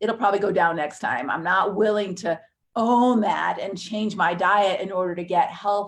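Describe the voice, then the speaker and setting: A woman talks at medium pitch with ordinary pitch variation. She has an ordinary speaking voice. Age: 60s. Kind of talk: live webinar teaching. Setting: live stream webinar.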